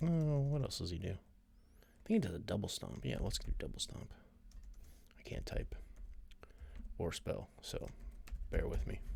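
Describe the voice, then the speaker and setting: A man talks quietly at a moderate pace. His speech has long, frequent pauses. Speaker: streamer playing a wrestling sim game. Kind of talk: casual live-stream commentary. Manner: quiet, talking low.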